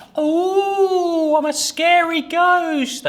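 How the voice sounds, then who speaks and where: An extremely high-pitched, put-on character voice. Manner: spooky.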